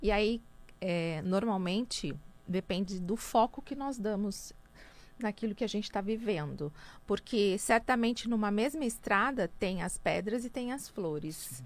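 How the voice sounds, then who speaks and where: With an ordinary speaking voice, a woman talks at a fairly slow pace with lively intonation and a medium pitch. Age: 50s. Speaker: businesswoman and speaker. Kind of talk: radio interview.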